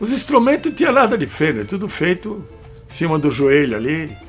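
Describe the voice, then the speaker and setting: A man's high-pitched voice at a moderate pace, with music in the background. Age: 80s+. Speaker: electronics engineer, amplifier builder. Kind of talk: interview answer. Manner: casual, profane storytelling.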